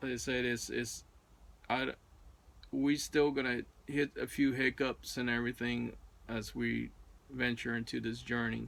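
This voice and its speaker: Speech with a non-native accent, broken up by long, frequent pauses. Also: man. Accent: non-native English, others may struggle. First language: not English. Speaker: RV traveler vlogger. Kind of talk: casual chat. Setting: in their RV bedroom.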